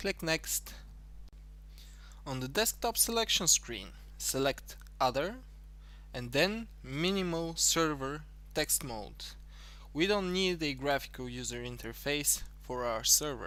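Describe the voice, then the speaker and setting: Speaking very slowly with long, frequent pauses, a man talks with an Eastern European accent. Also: very clean recording, silent background. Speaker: tutorial creator. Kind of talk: tutorial.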